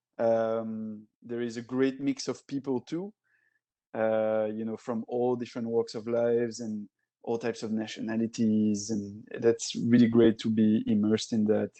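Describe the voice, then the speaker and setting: In a French accent, a man speaks at a medium pitch and a fairly slow pace, his dark, mellow tone flat and monotone, the sound dry and close with no echo against a quiet background. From Belgium, Brussels. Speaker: tech alliances director. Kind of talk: casual interview chat. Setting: podcast recording.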